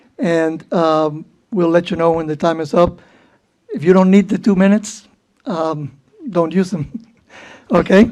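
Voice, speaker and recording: The speaker has a Cuban accent, a dark, mellow tone and ordinary pitch variation, moving at a fairly slow pace with long, frequent pauses. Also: woman, fairly low pitch for a woman. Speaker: board chair. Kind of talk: public meeting chairing. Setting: public meeting room with audience.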